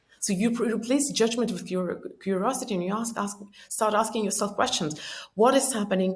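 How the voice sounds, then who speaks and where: A woman speaks at a fairly quick pace in a fairly high, somewhat breathy voice, with audible room echo. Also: ordinary pitch variation. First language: Estonian or Russian. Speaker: personal growth author and speaker. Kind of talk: podcast interview. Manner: many filler words and self-corrections.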